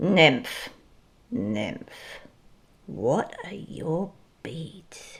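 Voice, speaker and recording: Putting on a growling character voice, a woman speaks at a fairly low pitch with very wide pitch swings. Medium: read story. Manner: greedy, pleading.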